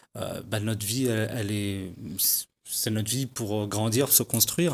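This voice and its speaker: A fairly quick pace with a slight Parisian accent, fairly even intonation, and a very clean recording over a silent background. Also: man. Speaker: hip-hop and slam artist. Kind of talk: TV interview. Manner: halting, many hesitations.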